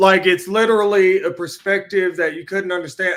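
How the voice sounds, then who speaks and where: Bright and sharp in tone, the speaker moves at a fairly quick pace in a Southern accent. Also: man. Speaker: podcast guest. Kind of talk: casual chat.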